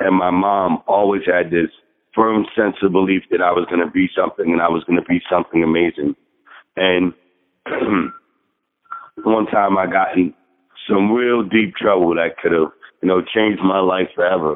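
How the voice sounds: A man's low-pitched voice with fairly even intonation. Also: moderate pace.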